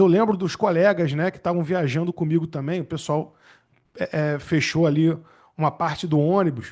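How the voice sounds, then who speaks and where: In a Rio de Janeiro accent, a man with a high pitch talks at a moderate pace with ordinary pitch variation against a quiet background. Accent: Rio de Janeiro (carioca). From Rio de Janeiro, Brazil. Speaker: public defender and exam-prep teacher. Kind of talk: webinar talk. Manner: casual, conversational.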